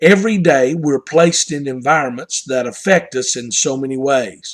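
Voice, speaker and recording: A man with a strong Southern US accent talks at a moderate pace with ordinary pitch variation. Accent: Southern US, strong twang. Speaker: pastor. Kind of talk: devotional talk.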